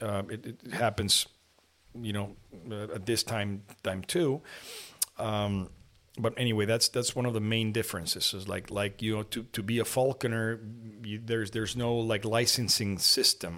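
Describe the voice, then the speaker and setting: With a Spanish accent and a bright, sharp tone, a man speaks at medium pitch and a moderate pace, with fairly even intonation and long, frequent pauses. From Mexico, partly raised in Lima, Peru. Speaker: falconer and plastic surgeon. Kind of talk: interview. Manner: halting, many repetitions.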